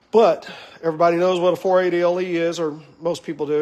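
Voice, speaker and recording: A man is speaking. His pitch is high. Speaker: car builder, shop owner. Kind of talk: shop tour and build update. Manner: casual, filler-heavy.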